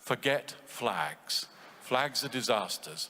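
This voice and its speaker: Speaking at a fairly slow pace, a man with a British accent has a bright, sharp tone. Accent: BBC English. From England. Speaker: conference participant. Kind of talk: audience comment in panel discussion. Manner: halting.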